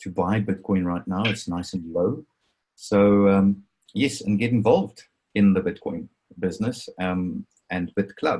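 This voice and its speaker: With an Afrikaans accent, a man speaks at a fairly slow pace and fairly low pitch. His tone is dark and mellow, and his intonation fairly even. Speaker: crypto presenter. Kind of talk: webinar presentation. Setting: video call.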